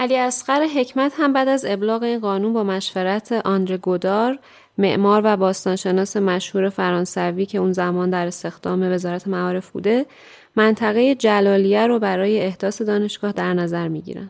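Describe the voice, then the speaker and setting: A woman at a medium pitch with ordinary pitch variation, an unremarkable speaking voice, and a fairly quick pace, on a very clean recording with a silent background. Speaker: radio show presenter. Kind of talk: scripted narration.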